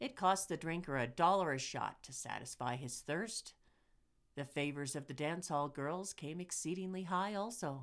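In a very clean recording with a silent background, a woman speaks in a very deep, low pitch with lively intonation and a dramatic tone. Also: moderate pace. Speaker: podcast host. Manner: formal, steady and measured, dramatic storyteller pacing.

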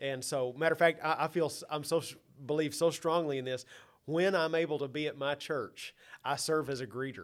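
On a very clean recording with a silent background, a man with an Arkansas accent talks at fairly high pitch with fairly even intonation. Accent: US Southern (Arkansas). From Arkansas, Mansfield area near Fort Smith. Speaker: church ministry consultant, former pastor. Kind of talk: interview conversation.

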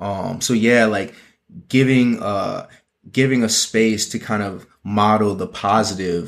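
Speaking with an American accent, a man uses an ordinary speaking voice at a fairly low pitch, fairly slow pace and fairly even intonation on a very clean recording with a silent background. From Minnesota (Minneapolis). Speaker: fashion and marketing consultant. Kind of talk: casual interview.

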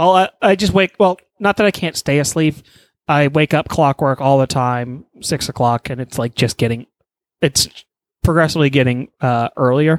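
A man speaks in a normal speaking voice at a moderate pace, pitched fairly high with ordinary variation. The sound is dry and close with no echo, on a very clean recording with a silent background. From Texas. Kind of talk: casual chat.

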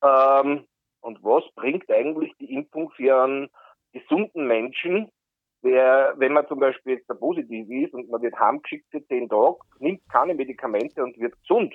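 A moderate pace and ordinary pitch variation in an unremarkable speaking voice, a man's, fairly high-pitched. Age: 50s. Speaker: caller. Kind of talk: call-in question.

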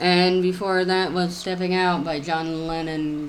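Noticeable background noise sits behind this recording. A woman speaks at a moderate pace with a fairly low pitch. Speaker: radio co-host. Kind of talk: live radio DJ patter, back-announcing songs and counting down to breaks.

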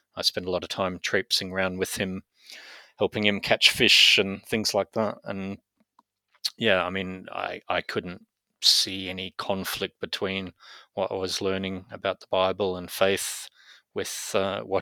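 A man's very deep, low voice with an Australian accent, bright and sharp in tone, monotone and flat at a fairly slow pace, in a very clean recording with a silent background and a dry, close sound with no echo. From Australia (Brisbane). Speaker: bioethics academic, former atheist. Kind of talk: interview testimony.

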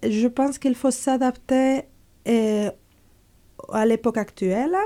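In a very clean recording with a silent background, a woman with a Spanish accent speaks at a fairly slow pace, her fairly high pitch carrying a dark, mellow tone and ordinary pitch variation. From Spain. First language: Spanish (speaking French). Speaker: human rights campaign coordinator. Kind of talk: radio interview, role-play debate. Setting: studio.

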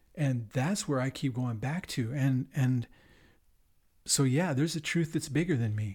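A man speaks at a fairly slow pace in a somewhat breathy, medium-pitched voice. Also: ordinary pitch variation. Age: 60s. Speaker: teacher and band director. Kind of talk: casual chat.

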